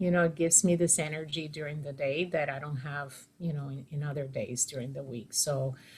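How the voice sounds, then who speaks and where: The voice is somewhat breathy. Its pace is moderate. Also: woman, hardly any pauses, big swings in loudness. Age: 60s. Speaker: fitness client. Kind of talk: interview. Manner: hesitant, many fillers.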